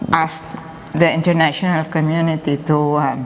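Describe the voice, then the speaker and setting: A fairly slow delivery over noticeable background noise. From Philippines. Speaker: church volunteer. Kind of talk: interview.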